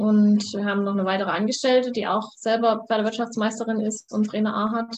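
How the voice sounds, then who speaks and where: A woman speaks at a fairly quick pace. Her fairly high voice has monotone, flat intonation. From Saxony, Germany (Vogtland). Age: 20s. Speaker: student and competitive eventing rider. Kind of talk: interview. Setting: video call.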